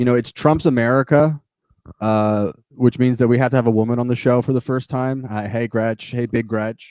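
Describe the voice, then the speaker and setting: At a moderate pace, a man speaks in a normal speaking voice at medium pitch, captured in a very clean recording with a silent background and a dry, close sound with no echo. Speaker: comedy politics podcast co-host. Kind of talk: casual chat. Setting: live stream.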